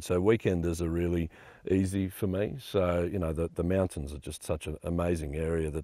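At a fairly quick pace, a man talks with a very deep, low pitch and a dark, mellow tone, his intonation fairly even, the sound dry with no echo over a quiet background. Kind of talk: interview answer. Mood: relaxed, friendly. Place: forest.

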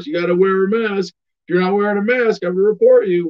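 A man puts on a character voice, high in pitch and delivered at a very fast pace. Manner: bossy, scolding.

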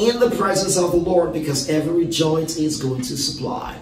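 Audible room echo and light background noise surround speech at a moderate pace. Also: man. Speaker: preacher, Bible teacher. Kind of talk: sermon.

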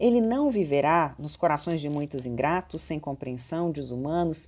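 A woman's very deep, low voice with a dark, mellow tone and lively intonation. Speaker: video blogger and professor. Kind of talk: family storytelling, reverent tribute, reading aloud a eulogy. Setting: indoors at home in a hallway. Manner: warm, affectionate, measured, solemn when reading the old speech. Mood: solemn, tender. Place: office. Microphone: phone near.

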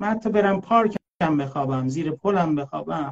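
In a quiet setting, a man talks at a moderate speed, his pitch varying in an ordinary way. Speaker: live stream host. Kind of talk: casual chat. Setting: live video stream. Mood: reflective, calm personal story. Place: home room. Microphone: phone near.

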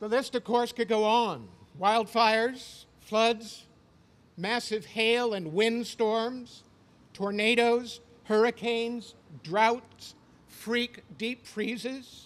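A man's extremely high pitch, fairly even intonation and very slow pace. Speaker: speaker. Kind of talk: prepared protest speech. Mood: earnest, indignant. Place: street. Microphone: podium.

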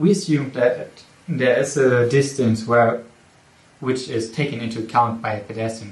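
A man at medium pitch, moderate pace, and fairly even intonation, with audible room echo

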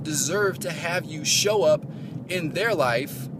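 The speech moves at a very slow pace. The sound is dry with no echo, but noticeable background noise is there. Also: man. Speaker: relationship advice vlogger. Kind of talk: motivational talk to camera. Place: car. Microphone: phone near.

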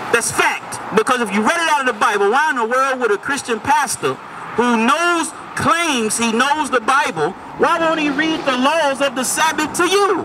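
Projecting a raised voice with very even loudness, a man with an extremely high pitch and ordinary pitch variation speaks at a moderate pace amid noticeable background noise. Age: 30s. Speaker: street preacher. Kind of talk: street debate. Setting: outdoors. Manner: animated. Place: street. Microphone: handheld.

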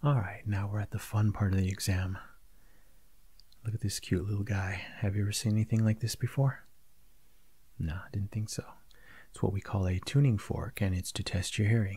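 Soft-spoken and somewhat breathy, a man talks at a fairly quick pace and fairly low pitch in a dark, mellow, gentle tone with fairly even intonation, the sound dry with no echo. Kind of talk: role-play medical exam talk to the viewer. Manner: soft-spoken, gentle ASMR doctor voice. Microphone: webcam.

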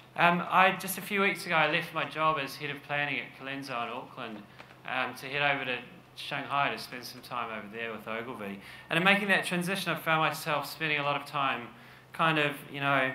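There's light background noise and audible room echo as a man talks at a fairly quick pace, with a bright, sharp tone, big swings in loudness and ordinary pitch variation. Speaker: conference speaker. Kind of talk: presentation talk. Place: stage. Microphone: podium.

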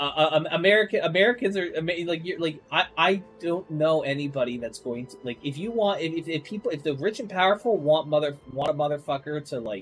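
A man talks at a fairly quick pace with big swings in loudness. Faint music sits in the background. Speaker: streamer. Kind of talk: casual stream commentary. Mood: dismissive, irritated.

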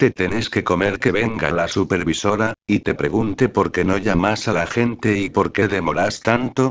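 The background stays quiet. A man talks at a fairly slow pace, his intonation fairly even. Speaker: supermarket cashier. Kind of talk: angry rant, comic venting. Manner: exasperated, sarcastic, swearing.

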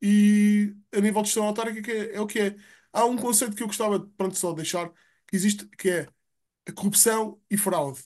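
Over a quiet background, a man with a European Portuguese accent speaks at a moderate pace in a high pitch with fairly even intonation. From Portugal. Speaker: seminar participant. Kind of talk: online seminar discussion. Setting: video call. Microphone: video call.

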